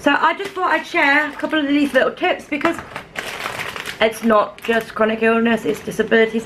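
There is noticeable background noise in this clip. A woman speaks at a moderate pace. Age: 30s. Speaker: vlogger. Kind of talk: casual vlog chat. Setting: at home, camera on a stand. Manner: animated, laughing often. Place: kitchen. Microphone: phone near.

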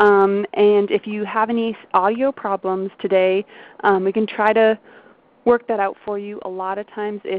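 In a dry sound with no echo, a woman speaks in a medium pitch with monotone, flat intonation. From Maine. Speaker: webinar host. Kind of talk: webinar hosting. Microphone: video call.

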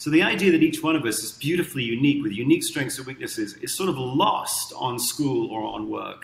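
With audible room echo, a man talks at a fairly quick pace using ordinary pitch variation. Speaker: guest. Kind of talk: interview answer. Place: home room. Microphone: webcam.

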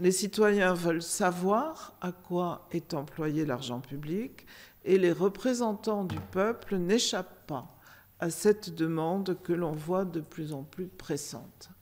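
A very slow pace with ordinary pitch variation. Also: woman, fairly low pitch for a woman. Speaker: auditing institution official; member of an audit court giving a report. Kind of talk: conference moderation. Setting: stage with audience. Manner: formal. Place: meeting room. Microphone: podium.

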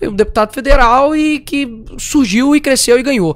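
Here is a man with a Minas Gerais accent and an extremely high pitch. His intonation is lively. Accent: mineiro Brazilian Portuguese. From Belo Horizonte, Brazil. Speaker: talk show co-host. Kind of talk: casual chat. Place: studio. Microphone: studio mic.

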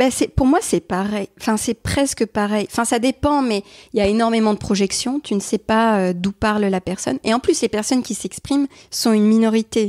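A woman speaks at a moderate pace with ordinary pitch variation. The sound is dry and close with no echo, a very clean recording against a silent background. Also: fairly high pitch for a woman. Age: 30s. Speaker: youtuber and artist. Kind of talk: interview. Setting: at home.

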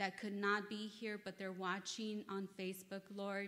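Keeping a moderate pace, a woman speaks with a monotone, flat intonation. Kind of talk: sermon. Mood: nervous, earnest. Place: church. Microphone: podium.

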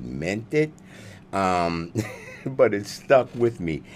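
A man with very wide pitch swings over light background noise. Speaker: preacher hosting a live stream. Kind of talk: sermon-style live stream talk. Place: studio. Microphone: studio mic.

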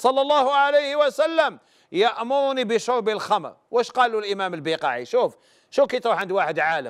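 Someone speaks with an Algerian accent against a quiet background. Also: man. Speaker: religious scholar answering questions. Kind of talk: religious advice call-in show. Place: studio. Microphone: lapel.

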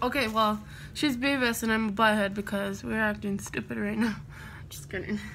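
Here a woman speaks in an American accent at a moderate pace. There is audible room echo. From United States. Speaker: beauty vlogger. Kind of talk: casual chat.

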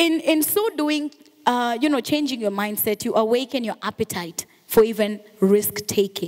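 In a Kenyan accent, a woman speaks at a fairly high pitch. Her tone is animated and her pace moderate. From Kenya, Mombasa. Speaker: radio and TV presenter; radio, TV presenter. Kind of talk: motivational talk. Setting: stage with audience. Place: hall. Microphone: handheld.

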